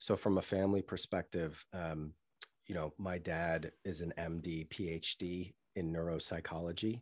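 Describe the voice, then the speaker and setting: Monotone, flat speech at a moderate pace with an American accent, on a very clean recording with a silent background. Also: man, very deep, low pitch for a man. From US Northeast, Boston area. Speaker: marketing agency founder and CEO. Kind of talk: interview conversation.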